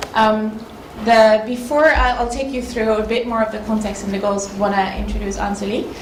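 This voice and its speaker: A fairly high-pitched woman with a Dutch accent, with audible room echo and noticeable background noise. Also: moderate pace. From Netherlands. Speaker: consultant, workshop facilitator. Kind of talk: conference presentation. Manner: hesitant, many fillers.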